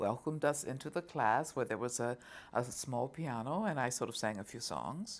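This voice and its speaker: A woman speaks in a warm tone with a very deep, low pitch. Her pace is moderate. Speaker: opera singer (mezzo-soprano). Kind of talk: interview answer, recounting a personal story. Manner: warm, fluent, conversational.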